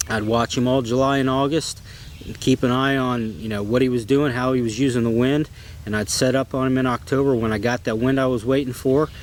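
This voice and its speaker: Over noticeable background noise, a man with an American accent talks fairly quickly at a medium pitch, his intonation fairly even. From Ohio, US Midwest. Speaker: bowhunter. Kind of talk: personal storytelling. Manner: casual, with filler words.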